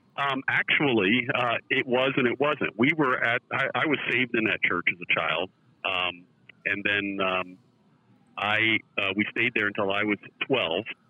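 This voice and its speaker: An ordinary speaking voice, a man at a medium pitch and a fairly slow pace. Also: ordinary pitch variation, very even loudness. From US Northeast, central New Jersey. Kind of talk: interview testimony.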